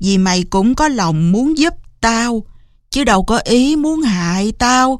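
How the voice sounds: Lively intonation in a natural reading voice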